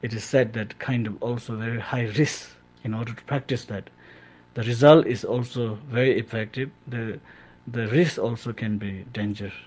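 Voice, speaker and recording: A man with a Tibetan accent speaks at a moderate pace in a somewhat breathy voice with fairly even intonation, captured in a very clean recording against a silent background. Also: medium pitch for a man. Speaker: Tibetan Buddhist lama. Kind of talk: radio interview answer on Buddhist teaching.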